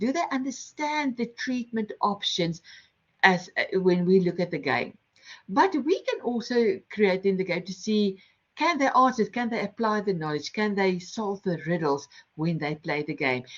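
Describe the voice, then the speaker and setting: A woman's somewhat breathy, medium-pitched voice with a strong non-native accent, at a moderate pace with very wide pitch swings. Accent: heavy non-native English. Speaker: lecturer and game-based learning workshop facilitator. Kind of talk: online workshop presentation.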